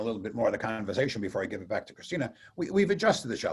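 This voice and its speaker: Pitch leaps across a very wide range in this man's somewhat breathy voice. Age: 60s. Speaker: radio host. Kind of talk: casual chat.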